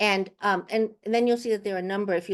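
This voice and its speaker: A woman is speaking. Behind her the background is quiet. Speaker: university provost. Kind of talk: town hall Q&A answer. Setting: video call webinar. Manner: fast.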